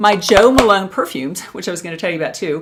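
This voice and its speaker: A woman talks at a moderate pace in a plain, everyday voice. Her pitch is medium, with ordinary variation. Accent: American. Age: 60s. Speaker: beauty and lifestyle youtuber. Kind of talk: casual vlog talk to camera.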